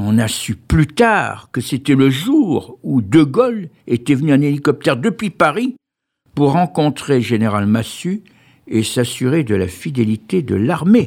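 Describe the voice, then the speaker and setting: A man's fairly high voice at a very slow pace, with very wide pitch swings, on a very clean recording with a silent background. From Pons area, Charente-Maritime, western France. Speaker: retired youth care worker. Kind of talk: personal testimony.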